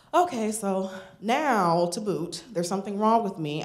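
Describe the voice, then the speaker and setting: A woman speaks with an American accent and lively intonation. Audible room echo fills the recording. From northern US. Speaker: storyteller. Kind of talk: live storytelling. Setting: stage with audience.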